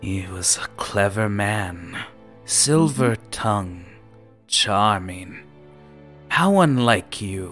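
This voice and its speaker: Over clear background music, a man puts on a character voice at a fairly low pitch, speaking at a very slow pace with long, frequent pauses. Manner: menacing, imperious, condescending.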